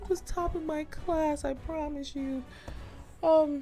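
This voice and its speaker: Over music in the background, a woman talks at a very slow pace in a high pitch with monotone, flat intonation. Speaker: gaming YouTuber. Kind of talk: let's play commentary. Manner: stumbling while reading aloud.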